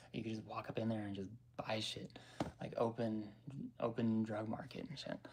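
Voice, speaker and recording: Somewhat breathy and monotone, a man talks with a Colorado accent at medium pitch. His pace is moderate and his intonation flat. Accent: American, Colorado. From Denver, Colorado. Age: 30s. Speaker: vlogger. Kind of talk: casual chat. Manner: rambling with many fillers.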